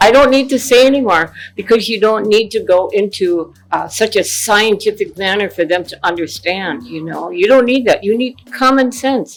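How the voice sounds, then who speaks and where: Over noticeable background noise, a woman with a fairly high voice speaks in a passionate tone at a moderate pace, with ordinary pitch variation and hardly any pauses. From Ojibwe, North America. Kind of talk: interview answer.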